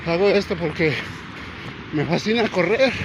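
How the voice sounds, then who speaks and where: A man talks at a fairly slow pace over noticeable background noise. His pitch is high, with ordinary pitch variation. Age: 60s. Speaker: vlogger and amateur runner. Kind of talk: casual vlog narration while jogging. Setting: outdoors on a seaside boardwalk.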